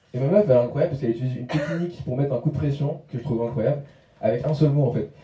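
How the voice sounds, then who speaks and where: A man mumbles at a very fast pace in a fairly high pitch. His pitch varies in an ordinary way. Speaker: stand-up comedian. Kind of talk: stand-up. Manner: mumbling, poor articulation.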